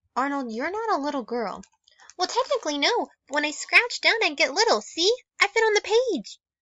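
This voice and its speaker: Putting on a squeaky character voice, a woman speaks at a fairly quick pace with an extremely high pitch and very wide pitch swings. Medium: read story. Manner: eager, punning.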